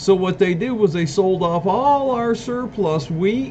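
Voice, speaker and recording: Against noticeable background noise, a man with an American accent speaks at a moderate pace, his pitch swinging very widely. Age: 60s. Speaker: self-declared presidential candidate. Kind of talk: campaign monologue.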